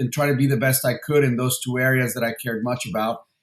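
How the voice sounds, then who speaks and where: Speaking with a Spanish accent at a fairly quick pace, a man holds a medium pitch with ordinary pitch variation. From Mexico City, then San Diego from age 13. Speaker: venture capital investor. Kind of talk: interview. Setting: podcast interview. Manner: halting, many fillers and repetitions.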